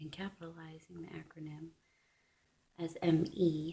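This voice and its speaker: A soft-spoken woman with a fairly low pitch. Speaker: religious video blogger. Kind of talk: religious monologue vlog.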